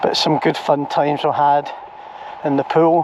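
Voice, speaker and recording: Over noticeable background noise, a man with a Scottish accent speaks at a fairly high pitch. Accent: Scottish (Ayrshire). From Scotland, Ayrshire (Troon). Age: 60s. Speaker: vlogger. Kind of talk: walking tour vlog narration. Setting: outdoors, walking by the shore. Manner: casual, conversational.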